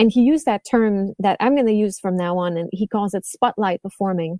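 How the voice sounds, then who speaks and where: On a very clean recording with a silent background and a dry, close sound with no echo, a woman in a French-Canadian accent talks at a fairly quick pace with a dark, mellow tone and ordinary pitch variation. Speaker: violin teacher and podcast host. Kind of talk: interview conversation. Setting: podcast interview.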